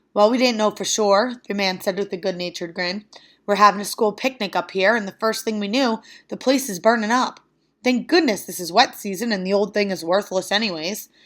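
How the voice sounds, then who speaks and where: A woman's raspy put-on character voice, medium in pitch with ordinary pitch variation, at a fairly quick pace. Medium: read story. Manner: good-natured.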